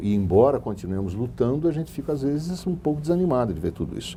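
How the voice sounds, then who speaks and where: A man's dark, mellow, somewhat breathy voice at a fairly quick pace with very wide pitch swings. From Brazil, Sorocaba. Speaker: businessman. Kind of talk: interview.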